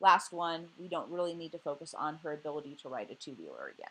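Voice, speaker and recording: A woman with a fairly low pitch is speaking. Her pace is fairly quick. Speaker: college instructor. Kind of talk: recorded lecture. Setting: at home. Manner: loud; halting, many fillers.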